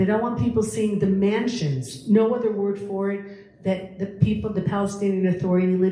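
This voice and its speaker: Speaking in an animated tone with an American accent, a woman is heard over noticeable background noise and audible room echo. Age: 60s. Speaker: lecturer and tour guide. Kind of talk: public talk Q&A.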